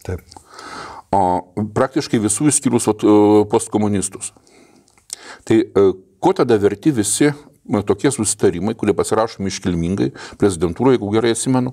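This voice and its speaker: Dark, mellow tone at a fairly quick pace, broken by long, frequent pauses, with ordinary pitch variation. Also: man, quiet background. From Lithuania. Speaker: political commentary podcast host. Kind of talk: casual political discussion. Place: studio. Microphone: lapel.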